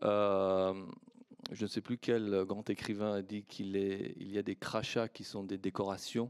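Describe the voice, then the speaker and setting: With a Persian accent, a man speaks at a very slow pace in a fairly low pitch, his intonation monotone and flat. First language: Persian (speaking French). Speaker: historian, academic panelist. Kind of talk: panel discussion. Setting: conference with audience. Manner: hesitant, many fillers.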